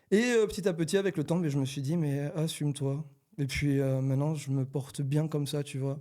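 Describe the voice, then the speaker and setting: The recording is very clean, with a silent background. In it, a man talks fairly quickly, his pitch varying in an ordinary way. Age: 20s. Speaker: rapper. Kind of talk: casual chat.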